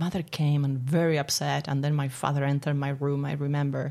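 Speech in an Argentine accent comes at a fairly quick pace with monotone, flat intonation. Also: woman. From Argentina, Buenos Aires. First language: Spanish. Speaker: spiritual coach and therapist. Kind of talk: interview. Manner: laughs often.

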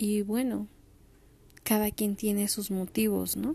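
A woman's fairly high yet dark, mellow voice with a Mexican accent at a very slow pace, on a very clean recording with a silent background. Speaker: podcaster. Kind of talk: personal storytelling monologue.

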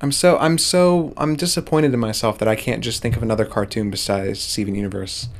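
A man talking very fast with hardly any pauses over noticeable background noise. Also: medium pitch for a man. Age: 20s. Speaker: podcast co-host, animation student. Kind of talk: casual chat.

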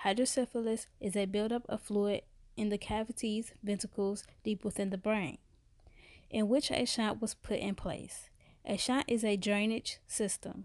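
A woman with an American accent and an ordinary speaking voice talks at a moderate pace, fairly high in pitch. Her intonation is fairly even, and the background is quiet. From US Midwest, Chicago South Side. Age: 20s. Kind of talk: scripted narration.

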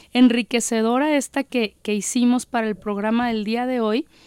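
Recorded dry and close with no echo, a woman speaks at a fairly slow pace in a dark, mellow tone. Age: 40s. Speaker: radio host. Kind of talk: casual chat; reading aloud.

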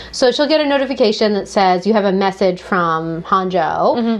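A woman's animated, medium-pitched voice over noticeable background noise. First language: French. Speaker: book podcast co-host. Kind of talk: casual chat. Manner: animated, laughs often.

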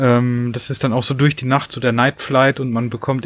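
A man speaks at a fairly quick pace with monotone, flat intonation. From western Germany, near Dortmund. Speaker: cyclist and long-distance hiker. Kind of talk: casual chat.

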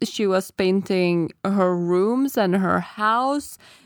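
In a very clean recording with a silent background, a woman with a Lithuanian accent talks at a very slow pace, her medium pitch showing ordinary variation. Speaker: podcast co-host. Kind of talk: casual chat.

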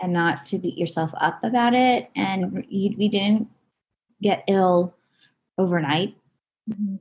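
Speaking very slowly with long, frequent pauses, a woman with an American accent has a somewhat breathy voice at medium pitch and ordinary pitch variation. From Southern California. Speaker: nurse practitioner and holistic health practitioner. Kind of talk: casual interview chat.

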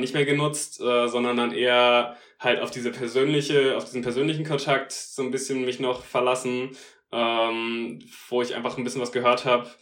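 A man's medium-pitched voice at a moderate pace, with audible room echo. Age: 20s. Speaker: law student. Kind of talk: casual interview. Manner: hesitant, many fillers.

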